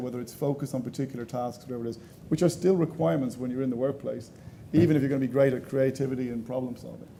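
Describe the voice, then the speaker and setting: With an Irish accent, a man speaks at a very fast pace in a dark, mellow tone and fairly even intonation. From Ireland. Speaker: panelist on education technology. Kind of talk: panel discussion.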